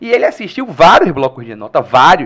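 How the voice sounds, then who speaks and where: With very wide pitch swings, a man talks at a fairly quick pace in a high voice. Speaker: history teacher and stand-up comedian. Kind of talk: casual chat.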